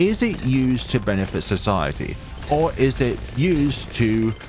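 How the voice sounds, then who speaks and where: A man talks at a fairly slow pace with lively intonation and a medium pitch. Music plays in the background. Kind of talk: gameplay commentary.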